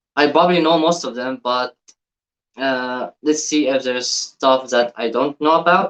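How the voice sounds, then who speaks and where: A man with an Arabic accent, fairly even intonation, a fairly slow pace, and a bright, sharp tone, in a dry, close sound with no echo. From Egypt. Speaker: YouTube reactor. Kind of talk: reaction video commentary. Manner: halting, repeats words.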